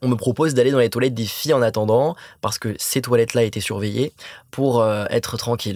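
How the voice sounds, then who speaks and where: Over a very clean recording with a silent background, a man of medium pitch talks at a fairly quick pace, using fairly even intonation and long, frequent pauses. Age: 20s. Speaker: anti-bullying association president. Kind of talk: interview. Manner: halting, repeats words.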